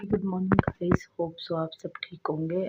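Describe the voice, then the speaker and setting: A woman talks at a fairly slow pace with fairly even intonation. Her voice is somewhat breathy. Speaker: vlogger, mother. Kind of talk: casual vlog talk to camera.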